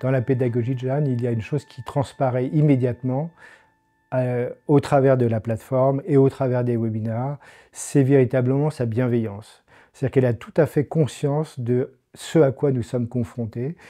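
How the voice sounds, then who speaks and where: A man's dark, mellow voice at a moderate pace, with fairly even intonation over a quiet background. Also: medium pitch for a man. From France, Paris region (Yvelines). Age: 60s. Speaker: adult cello student. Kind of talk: testimony. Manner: hesitant, frequent filler sounds.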